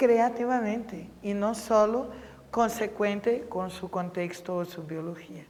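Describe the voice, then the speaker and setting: The intonation stays fairly even, with a Brazilian accent. The tone is dark and mellow. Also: woman. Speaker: professor of pedagogy. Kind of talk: interview.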